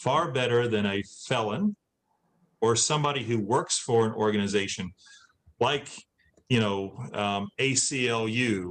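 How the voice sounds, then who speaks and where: An unremarkable speaking voice from a man at medium pitch, with fairly even intonation and a fairly slow pace. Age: 60s. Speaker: former inmate and adult education instructor. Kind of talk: Q&A after a talk.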